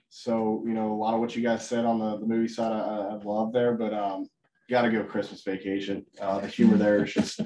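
Over light background noise, a man talks at a fairly quick pace with monotone, flat intonation. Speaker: webinar host, sales manager. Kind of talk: webinar presentation. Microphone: video call.

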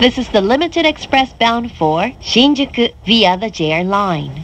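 Fairly slow speech from a woman with a fairly high pitch and very wide pitch swings, over noticeable background noise. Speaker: announcer. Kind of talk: recorded train announcement.

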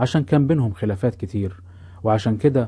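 A man with an Egyptian accent speaks at a fairly quick pace in a fairly low, somewhat breathy voice with a dark, mellow tone and ordinary pitch variation, against a quiet background. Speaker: podcast storyteller. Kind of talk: scripted narration.

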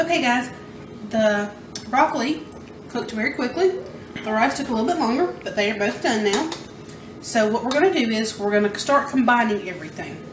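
Noticeable background noise behind a woman's fairly quick pace. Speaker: home cooking show host. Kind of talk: tutorial. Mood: relaxed, casual. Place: kitchen.

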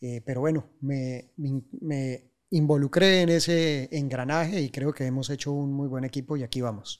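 A man speaks with a Colombian accent at a fairly high pitch, his intonation fairly even. The pace is fairly slow with hardly any pauses, over a quiet background. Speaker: civil engineer, project director; guest. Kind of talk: interview. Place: studio. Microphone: studio mic.

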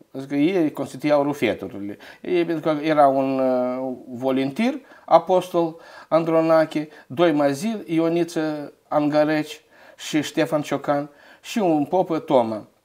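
A man's fairly high voice, dark and mellow in tone, at a very slow pace with ordinary pitch variation, over a quiet background. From Moldova, Căpriana; Moldova. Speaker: local history researcher; guest. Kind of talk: interview. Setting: studio. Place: studio. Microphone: lapel.

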